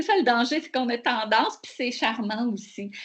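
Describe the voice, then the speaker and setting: A woman with a high pitch goes at a fairly slow pace, and her pitch varies in an ordinary way. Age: 60s. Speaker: professor. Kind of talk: webinar Q&A answer.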